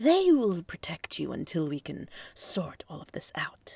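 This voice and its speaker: A woman's put-on character voice at a moderate pace. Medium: read story. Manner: controlled, falsely deferential.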